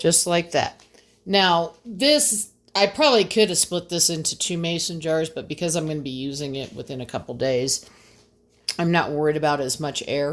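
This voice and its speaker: A woman speaks at a moderate pace in a fairly low pitch, with ordinary pitch variation and an unremarkable speaking voice. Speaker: home gardener and homesteader. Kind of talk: tutorial. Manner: casual with fillers.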